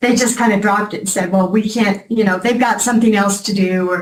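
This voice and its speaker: The speech moves at a fairly quick pace. The voice is somewhat breathy. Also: woman. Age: 70s. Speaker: defendant testifying in court. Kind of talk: courtroom testimony. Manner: halting.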